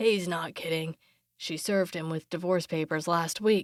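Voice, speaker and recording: A woman uses a raspy, put-on character voice at a fairly low pitch and moderate pace, recorded with a dry, close sound and no echo. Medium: read story.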